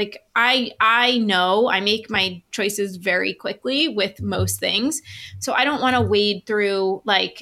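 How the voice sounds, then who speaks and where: Speaking at a fairly slow pace with a New York accent, a woman uses a medium pitch with ordinary variation and a bright, sharp tone. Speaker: sales funnel expert. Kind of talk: casual interview. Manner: direct.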